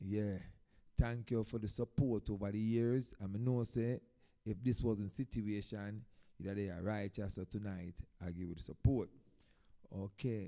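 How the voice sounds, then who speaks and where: In a Jamaican accent, this dark, mellow voice moves at a moderate pace with fairly even intonation and long, frequent pauses. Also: man, fairly low pitch for a man. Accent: Jamaican patois-inflected English. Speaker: dub poet. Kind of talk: live-stream performance talk.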